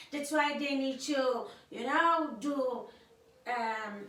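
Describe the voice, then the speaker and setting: At a very slow pace, a woman talks in a high pitch with ordinary pitch variation, and audible room echo surrounds her voice. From Cape Verde. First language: Cape Verdean Creole. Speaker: YouTuber's wife, guest speaker. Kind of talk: casual political commentary to camera. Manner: halting, many fillers and repetitions.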